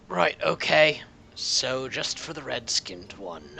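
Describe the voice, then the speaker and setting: A raspy, put-on character voice from a man, medium in pitch, with very wide pitch swings and a fairly slow pace. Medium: actual play. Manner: brisk, dry, businesslike.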